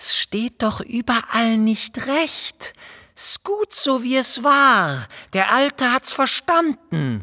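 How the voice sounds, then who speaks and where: A woman's put-on character voice, high-pitched and hissing, at a very slow pace. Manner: hissing and lisping.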